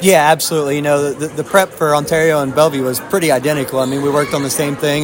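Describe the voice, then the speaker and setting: A man at a very fast pace and fairly high pitch, monotone and flat, with noticeable background noise. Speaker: assistant basketball coach. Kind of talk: casual interview.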